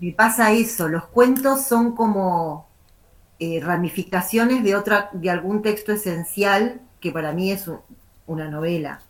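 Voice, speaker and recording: This woman has an ordinary speaking voice at a medium pitch with ordinary pitch variation. She speaks at a fairly slow pace. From Argentina, La Plata. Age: 50s. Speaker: writer. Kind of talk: interview. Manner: rambling, many fillers and repetitions.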